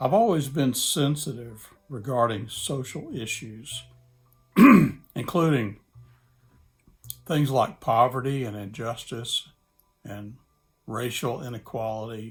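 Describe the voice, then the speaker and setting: With music in the background, a medium-pitched man with a Southern US accent speaks at a very slow pace, using ordinary pitch variation, long, frequent pauses and big swings in loudness. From Mississippi, US South. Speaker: church planting specialist. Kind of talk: casual talk to camera.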